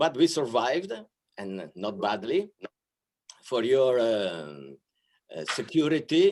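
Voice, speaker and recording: A man with an Italian accent speaks at a medium pitch and a very slow pace, with very wide pitch swings and long, frequent pauses. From Italy, Milan. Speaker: archbishop, diplomat. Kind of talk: welcome speech. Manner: hesitant, with many fillers.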